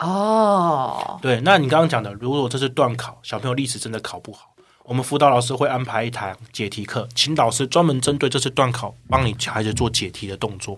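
A man with a Taiwanese accent talks at a medium pitch and a fairly quick pace, with ordinary pitch variation and big swings in loudness. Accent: Taiwanese Mandarin. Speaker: online course sales manager. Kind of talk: podcast interview.

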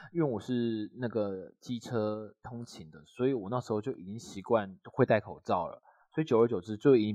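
At a moderate pace, a man with a dark, mellow tone speaks with ordinary pitch variation in a dry, close sound with no echo and a quiet background. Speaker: podcast co-host. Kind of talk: casual chat. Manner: slurred, mixes up an/ang sounds.

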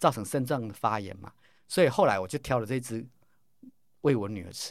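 The very clean recording with a silent background carries a man speaking at a fairly quick pace. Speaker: pharmacy professor and probiotics researcher. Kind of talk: interview. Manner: animated.

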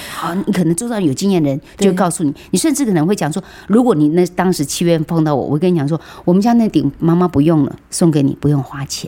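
A woman talks very fast in a dark, mellow, fairly low voice with ordinary pitch variation. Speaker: veteran media personality and radio broadcaster. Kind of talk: interview about caregiving.

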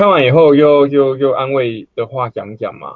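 At a moderate pace, a man talks in a fairly high voice. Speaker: amateur stand-up comedian. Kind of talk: casual chat.

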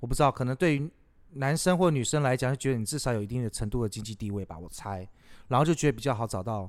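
At a very fast pace, a man talks with lively intonation at a medium pitch. The recording is very clean with a silent background. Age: 30s. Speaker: podcast host, café owner. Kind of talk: casual chat.

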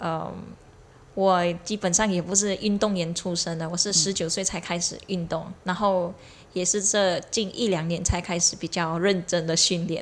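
A woman with a Malaysian accent speaks at a moderate pace in a fairly low voice with monotone, flat intonation. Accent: Malaysian Chinese. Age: 20s. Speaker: triathlete. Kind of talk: casual chat.

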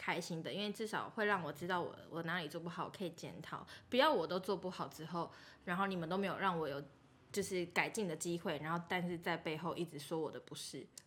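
Words come out at a very fast pace while the intonation stays fairly even. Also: woman, fairly low pitch for a woman. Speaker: podcast co-host. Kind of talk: casual chat.

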